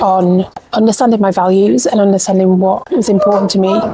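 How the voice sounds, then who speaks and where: A woman speaks in an English accent. Her pitch is medium, and her pace is fairly quick. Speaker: life coach and small business founder. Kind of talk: casual vlog talk to camera. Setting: pop-up shop in a department store. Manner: soft-spoken, near whisper.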